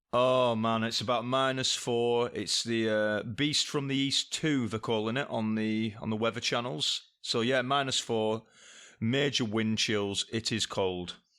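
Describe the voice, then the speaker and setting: A man with a Lancashire accent speaks at a fairly slow pace in a bright, sharp tone. His intonation is fairly even and his loudness very even. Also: medium pitch for a man. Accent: Leyland (Lancashire). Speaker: podcast guest. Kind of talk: casual chat. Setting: video call.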